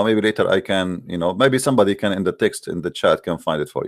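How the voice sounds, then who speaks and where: With an Arabic accent, a man speaks at a fairly quick pace with hardly any pauses and ordinary pitch variation. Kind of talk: live call-in show. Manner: halting; animated.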